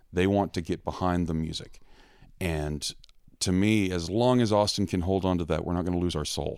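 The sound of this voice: In a very clean recording with a silent background, a man with an American accent speaks at a moderate pace in a low pitch, with a clear, smooth tone and ordinary pitch variation.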